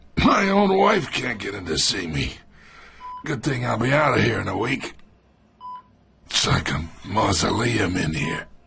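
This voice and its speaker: Over sound effects in the background, a man puts on a raspy character voice of medium pitch, speaking at a moderate pace. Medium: cartoon. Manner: condescending, sardonic.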